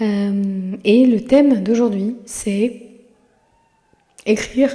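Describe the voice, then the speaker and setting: A woman speaks with a medium pitch. Her pitch variation is ordinary. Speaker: podcast host; mother. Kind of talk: casual monologue. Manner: halting, many hesitations.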